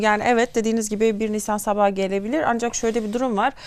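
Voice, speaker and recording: Her voice sits fairly high. The woman rattles along at a very fast pace. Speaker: TV news host. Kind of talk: TV interview.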